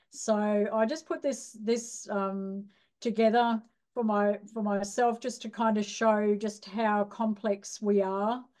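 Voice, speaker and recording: Over a quiet background, a woman speaks very slowly in an Australian accent. Her medium-pitched voice has a dark, mellow tone and monotone, flat intonation. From rural Australia. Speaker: nurse educator. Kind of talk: lecture. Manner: hesitant, many fillers.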